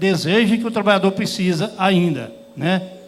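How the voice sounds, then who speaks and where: Audible room echo surrounds speech that is fairly slow with ordinary pitch variation. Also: man. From Goiás, central Brazil. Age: 60s. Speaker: rural workers' union leader. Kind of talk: panel talk. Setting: conference stage with audience. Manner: plain, hesitant speech with fillers.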